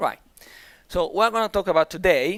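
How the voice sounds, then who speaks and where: A man with an Italian accent at a fairly quick pace, ordinary pitch variation, on a very clean recording with a silent background. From Italy. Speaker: conference speaker. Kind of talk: conference talk. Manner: halting, with repetitions.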